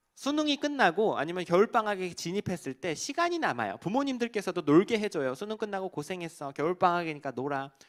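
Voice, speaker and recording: A man talks very fast and high-pitched, with hardly any pauses and very wide pitch swings. The sound is dry and close with no echo, on a very clean recording with a silent background. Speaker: evangelist and cult counselor. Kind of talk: sermon.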